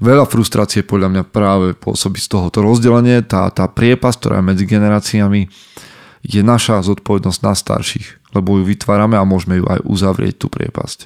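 A man with an ordinary speaking voice talks at a fairly quick pace in a fairly low pitch with fairly even intonation, the sound dry and close with no echo. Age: 30s. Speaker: podcast host and men's coach. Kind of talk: solo podcast monologue.

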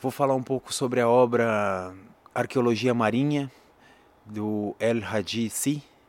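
A man with a Brazilian accent at medium pitch, fairly slow and fairly even in intonation, with long, frequent pauses. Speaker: educator and musician. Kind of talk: poetry reading aloud, solemn spoken-word delivery; introduction then reading a written poem. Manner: slow, measured, solemn, with dramatic pauses.

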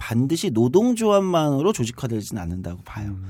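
Over a silent background in a very clean recording, a man with a medium pitch and a dark, mellow tone talks at a fairly quick pace with very wide pitch swings. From South Korea, Incheon. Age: 30s. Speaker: politician. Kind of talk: interview.

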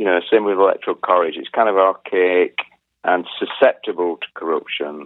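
In an English accent, a man talks at a moderate pace. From England. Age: 50s. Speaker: musician, former punk band member. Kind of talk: interview conversation.

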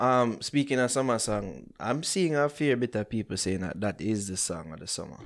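A man with a Jamaican accent talks at medium pitch and a moderate pace with hardly any pauses, on a very clean recording with a silent background. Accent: Jamaican, patois-inflected. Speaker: podcast host. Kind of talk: casual chat.

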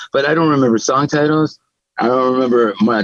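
An unremarkable speaking voice at a fairly quick pace, dry and close with no echo. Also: man. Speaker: guitarist. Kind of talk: casual interview chat.

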